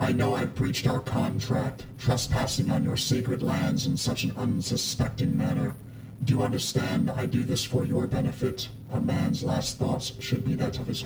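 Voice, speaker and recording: A man's medium-pitched voice with a slight echo, over loud background noise. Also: moderate pace. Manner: calm, stern, quietly malevolent.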